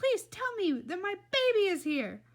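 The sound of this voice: A put-on character voice with big pitch swings. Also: woman, extremely high pitch for a woman, moderate pace.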